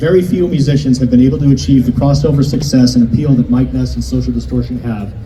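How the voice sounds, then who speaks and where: Amid noticeable background noise, a man with an American accent talks at a very fast pace and medium pitch. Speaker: mayor presenting a civic honor. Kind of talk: ceremonial public speech. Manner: formal, partly read from prepared text.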